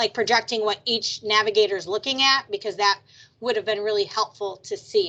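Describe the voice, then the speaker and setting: Loud and fairly quick, a woman speaks at a fairly high pitch with a bright, sharp tone and fairly even intonation. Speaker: trauma program manager. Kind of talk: video meeting discussion.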